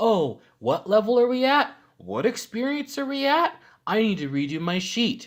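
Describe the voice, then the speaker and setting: A man puts on a character voice at an extremely high pitch, swinging very widely up and down. He keeps a moderate pace. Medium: solo performance. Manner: curt, demanding.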